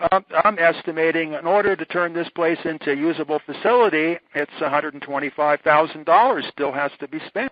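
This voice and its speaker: In an ordinary speaking voice, a man talks at a fairly quick pace with fairly high pitch and ordinary pitch variation. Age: 60s. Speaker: electrical researcher. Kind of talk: casual interview. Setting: phone call.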